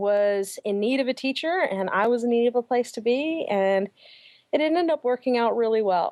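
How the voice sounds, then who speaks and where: In a Southern US accent, a woman talks at a fairly high pitch. Her pace is moderate and her intonation lively. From US South, Atlanta. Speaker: primary school teacher. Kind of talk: interview.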